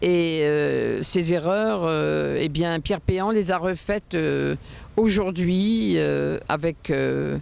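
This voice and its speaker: Very slowly, a woman talks in a fairly low-pitched voice. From France. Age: 60s. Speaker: interviewee, former luxury real estate professional. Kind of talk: interview testimony. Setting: outdoors on the Seine quays.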